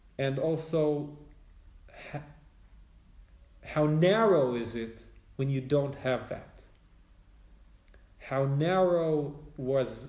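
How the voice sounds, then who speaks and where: Speaking at a very slow pace with a Brooklyn accent, a man shows ordinary pitch variation amid audible room echo. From Israel (Alon Shvut), English-speaking family. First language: Hebrew dominant; English home language, less fluent. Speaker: spiritual teacher and author. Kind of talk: interview conversation. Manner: halting, many hesitations.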